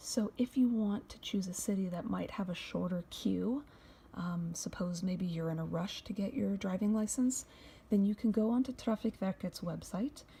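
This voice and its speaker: The voice is quiet and the pace is moderate. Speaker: YouTube vlogger. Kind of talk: tutorial. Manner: casual.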